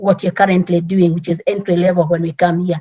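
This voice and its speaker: The tone is dark and mellow. A strong Kenyan accent comes through clearly. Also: woman. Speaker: immigrant community leader. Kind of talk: panel talk. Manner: halting.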